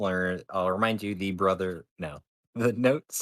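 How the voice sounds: Someone reads in a natural voice against a quiet background.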